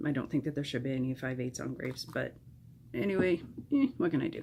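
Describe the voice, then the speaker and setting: Through noticeable background noise, a woman with a very deep, low pitch talks at a fairly quick pace. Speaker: overtime shift worker. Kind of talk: casual talk to camera.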